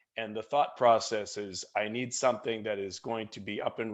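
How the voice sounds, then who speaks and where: A man in a Boston accent, medium pitch and fairly even intonation. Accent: American, Boston area. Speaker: software product marketing lead. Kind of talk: webinar product presentation.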